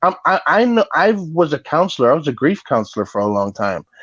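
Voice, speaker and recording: The sound is dry and close with no echo, against a quiet background. A man speaks with a New York accent. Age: 40s. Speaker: former grief counselor, guest commentator. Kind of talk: casual chat.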